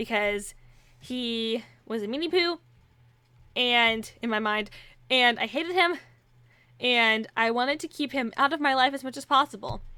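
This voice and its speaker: A woman speaks in a high pitch with a bright, sharp tone, on a very clean recording with a silent background. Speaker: aspiring voice actor and YouTuber. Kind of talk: casual Q&A vlog. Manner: unscripted, rambling with fillers.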